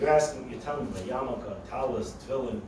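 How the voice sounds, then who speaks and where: A man with an American accent is heard through noticeable background noise and audible room echo. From New York (Brooklyn, Crown Heights). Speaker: storyteller. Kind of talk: storytelling.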